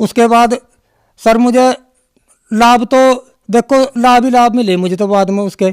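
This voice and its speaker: An extremely high-pitched man speaks with fairly even intonation and long, frequent pauses. The sound is dry and close with no echo. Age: 60s. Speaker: devotee giving testimony. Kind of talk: testimony. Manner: halting.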